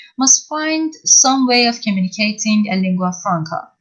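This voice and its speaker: A woman speaks with a Persian accent. Her pitch swings very widely. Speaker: university lecturer. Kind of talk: lecture. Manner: halting.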